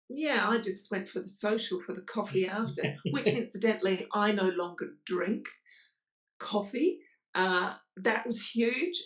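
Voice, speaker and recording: A woman with an ordinary speaking voice, medium in pitch, lively in intonation and fairly slow in pace. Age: 60s. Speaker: podcast guest. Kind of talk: interview answer.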